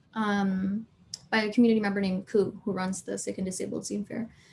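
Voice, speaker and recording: A medium-pitched, somewhat breathy woman, fairly quick and monotone with flat intonation. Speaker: community artist and organizer. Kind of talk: panel discussion. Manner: casual, many fillers.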